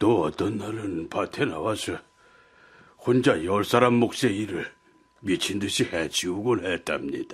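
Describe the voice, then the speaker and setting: A man puts on a character voice, sounding raspy and moving at a fairly slow pace. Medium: audio drama. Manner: confiding, storytelling.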